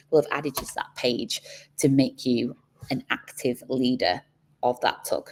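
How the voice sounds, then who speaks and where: This woman speaks with a Manchester accent at a moderate pace, her loudness swinging widely. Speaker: community program manager. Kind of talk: onboarding call presentation.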